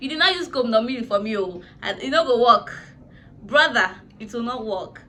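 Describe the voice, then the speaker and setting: A high-pitched woman's voice with lively intonation and big swings in loudness, at a moderate pace over noticeable background noise. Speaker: YouTuber, vlogger. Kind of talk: casual vlog storytelling. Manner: animated.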